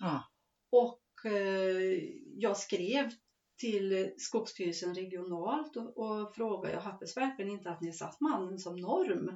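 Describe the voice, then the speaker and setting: A very slow pace with ordinary pitch variation. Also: woman, medium pitch for a woman. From Värmland, Sweden. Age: 50s. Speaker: forest owner and farmer. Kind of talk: interview.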